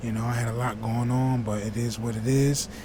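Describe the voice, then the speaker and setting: A speaker with an American accent talks at a fairly quick pace in a flat, monotone way. The room echo is audible, and there is noticeable background noise. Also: man. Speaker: YouTube reaction creator. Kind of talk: casual vlog talk to viewers. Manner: fast.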